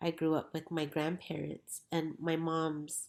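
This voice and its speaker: With an American accent, a woman talks at a moderate pace. Her voice is very deep and low. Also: very clean recording, silent background. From New Mexico, US (Pueblo communities). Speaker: educator and school co-founder. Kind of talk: interview.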